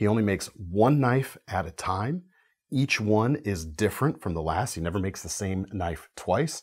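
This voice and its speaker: The background is quiet as a man speaks. His voice sits at a fairly low pitch, and his intonation is lively. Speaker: presenter. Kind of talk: product presentation. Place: studio. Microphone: lapel.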